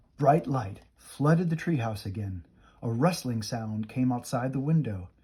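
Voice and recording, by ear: Natural read-aloud delivery with lively intonation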